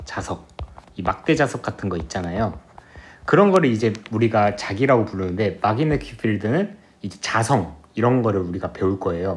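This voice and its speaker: Speaking at a moderate pace, a man makes very wide pitch swings. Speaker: physics tutor. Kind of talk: lecture.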